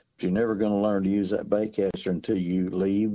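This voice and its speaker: In a Southern US accent, a man speaks with a flat, monotone intonation and a dark, mellow tone at a fairly low pitch. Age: 60s. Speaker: fishing guide. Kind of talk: casual radio chat. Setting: phone call.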